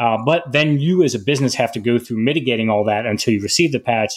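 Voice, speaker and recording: A man talks at a fairly quick pace and medium pitch. He has an unremarkable speaking voice. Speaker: podcast host, Marine.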